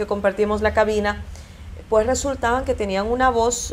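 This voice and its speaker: Noticeable background noise sits behind a woman speaking at a moderate pace. She has a fairly high pitch and fairly even intonation. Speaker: broadcaster. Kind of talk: interview.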